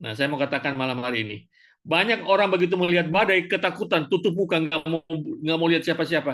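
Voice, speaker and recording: A man speaks very fast with a high pitch. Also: ordinary pitch variation. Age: 60s. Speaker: cell group member. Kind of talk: group discussion.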